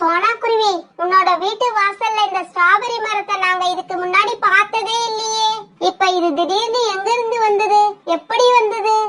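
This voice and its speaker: An extremely high-pitched, cartoonish character voice. It moves at a fairly slow pace. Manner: eager, repeats itself.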